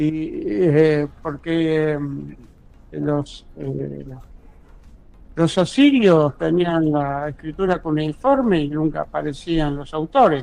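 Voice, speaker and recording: A man talks at a very slow pace. Behind him there is music in the background. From Buenos Aires, Argentina. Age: 70s. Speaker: ghostwriter and university lecturer. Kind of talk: interview.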